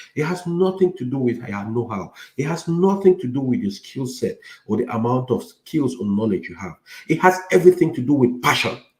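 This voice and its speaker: A man with a somewhat breathy voice speaks at a medium pitch and a fairly quick pace. His pitch swings very widely and his loudness rises and falls a lot. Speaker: IT career coach. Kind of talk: lecture. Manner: clear articulation.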